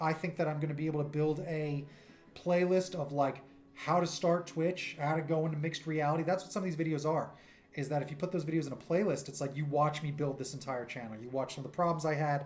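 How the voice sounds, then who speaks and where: Somewhat breathy, a man speaks very fast at a fairly high pitch. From New York. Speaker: streamer and cartoonist; streamer. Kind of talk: casual livestream chat. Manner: animated.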